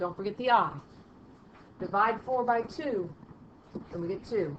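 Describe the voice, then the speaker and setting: A woman talks fairly slowly with lively intonation, her voice carrying audible room echo amid noticeable background noise. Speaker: math teacher. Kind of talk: lecture.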